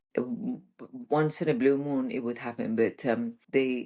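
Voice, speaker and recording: Lively intonation in a Persian accent. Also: woman. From Iran. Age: 60s. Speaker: relationship coach. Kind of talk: podcast interview, personal story. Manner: animated.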